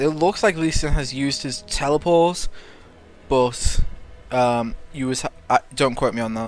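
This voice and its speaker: Speech moves at a moderate pace with ordinary pitch variation. Music plays in the background. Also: man. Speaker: game shoutcaster / commentator. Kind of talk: esports-style shoutcast commentary.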